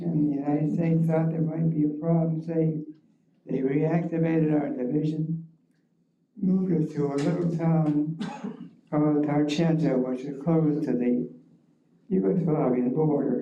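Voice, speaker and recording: A man with an American accent and a fairly high pitch, at a moderate pace with long, frequent pauses and fairly even intonation, amid audible room echo. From Ohio, Cleveland area (Rocky River). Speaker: war veteran. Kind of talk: oral history talk. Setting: library forum with audience.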